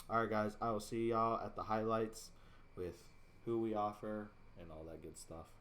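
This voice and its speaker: Amid audible room echo, a man with a fairly low pitch and fairly even intonation speaks at a moderate pace, his loudness swinging widely between long, frequent pauses. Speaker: video game streamer. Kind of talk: gameplay commentary. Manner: casual.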